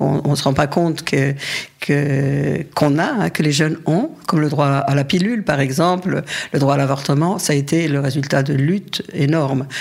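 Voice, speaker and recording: Amid noticeable background noise, a woman speaks at a moderate pace in a very deep, low voice, with ordinary pitch variation and very even loudness. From Paris region, France. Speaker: feminist activist. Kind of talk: interview. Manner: halting.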